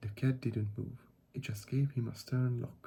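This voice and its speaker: A man with a non-native accent, a dark, mellow tone, a somewhat breathy quality and flat, monotone delivery. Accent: non-native accent, self-described as poor. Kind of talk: ASMR audiobook reading.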